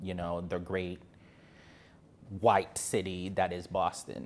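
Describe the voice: A man with a low-pitched voice speaks in an American accent.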